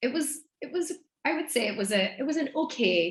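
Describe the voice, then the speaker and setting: A woman speaks with a strong Irish accent. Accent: thick Irish. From Ireland, Donegal. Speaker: business mentor and speaker. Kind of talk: podcast interview.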